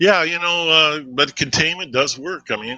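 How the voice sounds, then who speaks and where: The speaker is a man. He talks at a moderate pace. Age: 60s. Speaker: retired air force veteran. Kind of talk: interview. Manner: halting.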